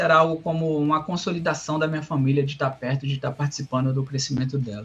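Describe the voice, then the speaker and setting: A man's voice at a fairly quick clip with fairly even intonation, music playing behind him. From Brazil, Rio Grande do Norte. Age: 30s. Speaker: software developer. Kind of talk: interview. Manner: halting, many fillers and repetitions.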